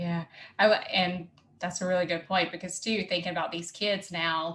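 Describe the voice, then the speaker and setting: A woman with a Southern US accent speaks at a moderate pace, fairly low in pitch. Her intonation is monotone and flat, on a very clean recording with a silent background. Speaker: podcast host. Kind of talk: podcast interview.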